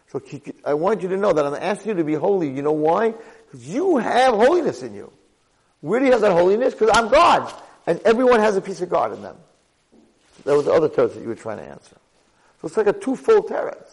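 A man speaks at a very fast pace, broken by long, frequent pauses, with big swings in loudness. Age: 50s. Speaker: rabbi teaching a Torah class. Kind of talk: lecture.

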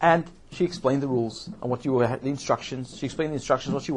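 What we hear is a natural reading voice.

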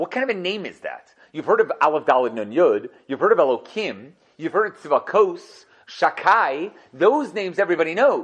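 Animated and high-pitched, a man talks at a moderate pace with very wide pitch swings and big swings in loudness. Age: 40s. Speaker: Torah teacher. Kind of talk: lecture.

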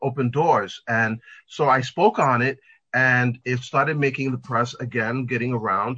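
Speaking in a plain, everyday voice, a man with an American accent keeps a moderate pace, medium pitch and fairly even intonation. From New York. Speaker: pet fashion designer. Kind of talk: interview.

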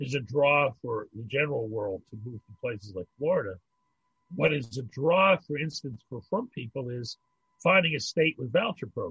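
At a moderate pace, a man with an unremarkable speaking voice and medium pitch uses lively intonation and big swings in loudness. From Pittsburgh, US. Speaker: rabbi. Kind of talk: casual chat.

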